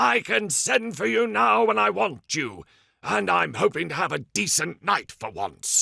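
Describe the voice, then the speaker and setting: A man performs a raspy, put-on character voice. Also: medium pitch for a man, moderate pace. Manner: snappy, irritable.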